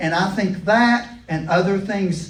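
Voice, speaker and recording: A man speaks in a high pitch with an American accent. Audible room echo surrounds his voice. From Kentucky. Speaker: educator. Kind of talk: lecture. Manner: animated.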